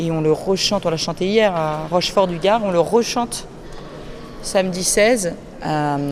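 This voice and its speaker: A woman talks at a fairly slow pace with a medium pitch and ordinary pitch variation, leaving long, frequent pauses. Audible room echo and noticeable background noise surround her voice. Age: 30s. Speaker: choir director. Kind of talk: interview. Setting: cathedral after mass. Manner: halting, many fillers.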